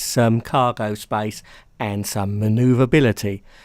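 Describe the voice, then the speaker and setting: In a British accent, a man speaks on a very clean recording with a silent background. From UK. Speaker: gaming YouTuber. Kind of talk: gaming news commentary.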